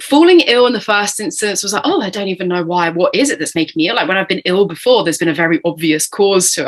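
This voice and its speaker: A woman's voice with a British accent. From Britain. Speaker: entrepreneur, burnout survivor. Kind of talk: podcast interview.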